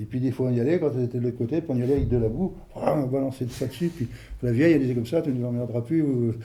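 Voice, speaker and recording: A man at medium pitch, ordinary pitch variation and a very fast pace, with noticeable background noise. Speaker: elderly villager interviewed. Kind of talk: interview reminiscence. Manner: hesitant, colloquial.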